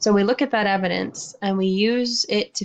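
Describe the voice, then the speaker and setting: An unremarkable speaking voice at a moderate pace, with lively intonation, against a quiet background. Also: woman. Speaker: science teacher. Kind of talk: lecture.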